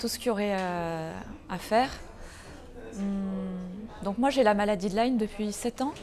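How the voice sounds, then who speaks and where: A woman talks at a moderate pace with a medium pitch. Her pitch varies an ordinary amount. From Aveyron, France. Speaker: retreat participant. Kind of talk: interview testimony.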